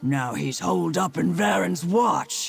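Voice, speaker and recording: Over faint background music, a man does a raspy put-on character voice. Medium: video game. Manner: devout, earnest.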